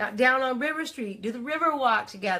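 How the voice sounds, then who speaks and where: The voice is raised and projected, with an animated tone. The pace is fairly slow. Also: woman. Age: 40s. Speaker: life coach and livestream host. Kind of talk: live motivational talk. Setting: livestream.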